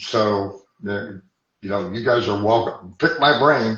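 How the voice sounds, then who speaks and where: A man speaks at a fairly low pitch in an American accent. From Texas. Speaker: hypnotherapist. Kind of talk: podcast interview. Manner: halting.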